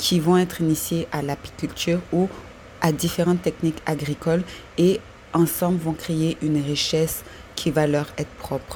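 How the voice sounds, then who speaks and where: A woman talks fairly slowly in a fairly low pitch with a monotone, flat intonation. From Ivory Coast. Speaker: listener with a project. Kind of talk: voice message.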